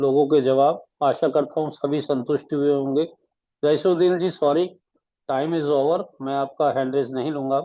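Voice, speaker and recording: A man speaks in a fairly high voice. His intonation stays flat and monotone. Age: 70s. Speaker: online meeting moderator. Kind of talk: moderating online group meeting.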